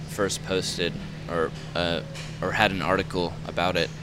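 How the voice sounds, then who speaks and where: The voice moves at a fairly slow pace against noticeable background noise. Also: man. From Georgia, Metro Atlanta (Gwinnett County). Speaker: clothing company founder, graphic designer. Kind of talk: interview.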